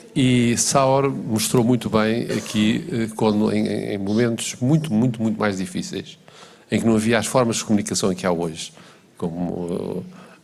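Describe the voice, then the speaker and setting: Audible room echo surrounds a man speaking at a fairly quick pace with lively intonation. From Portugal. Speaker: panel speaker, former health official. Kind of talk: panel discussion. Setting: conference hall with interpreters. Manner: hesitant, many fillers.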